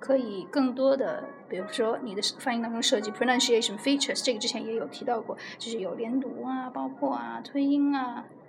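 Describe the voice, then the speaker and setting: A woman speaks at a fairly quick pace in a high voice with ordinary pitch variation. Noticeable background noise and audible room echo fill the recording. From China. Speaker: English speaking teacher. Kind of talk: podcast interview. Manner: hesitant, many fillers.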